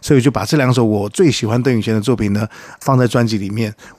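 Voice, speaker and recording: Talking extremely fast, a man lets his pitch shift in a normal way. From Taiwan. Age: 50s. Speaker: singer-songwriter. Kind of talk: interview.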